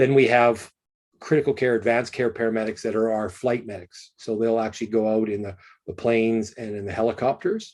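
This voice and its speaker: Against a quiet background, a man with a Canadian accent talks at a fairly quick pace in a monotone, flat delivery. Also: medium pitch for a man. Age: 50s. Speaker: emergency physician. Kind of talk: lecture.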